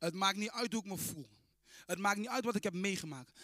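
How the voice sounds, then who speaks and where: A man's high-pitched, raised and projected voice, bright and sharp in tone and animated. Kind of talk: sermon. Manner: animated, fervent, proclaiming.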